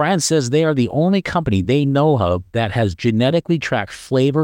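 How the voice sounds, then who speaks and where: A man speaks at a fairly quick pace with lively intonation, his pitch medium and his voice a plain, everyday voice. The recording is very clean with a silent background and a dry, close sound with no echo. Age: 60s. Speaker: podcast host. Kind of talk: casual interview chat.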